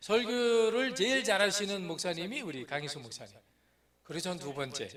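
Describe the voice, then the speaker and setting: In a room with audible echo, a man speaks at a high pitch, his voice making very wide pitch swings and big swings in loudness. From Korea, Chungcheong (North Chungcheong, Boeun). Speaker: missionary pastor. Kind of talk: sermon. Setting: church. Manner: slow speech.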